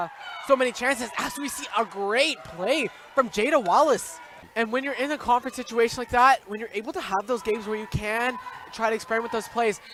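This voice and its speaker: An extremely high-pitched man talks at a fairly quick pace with ordinary pitch variation and big swings in loudness. Noticeable background noise runs underneath. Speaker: sports commentator. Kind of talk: live basketball play-by-play commentary.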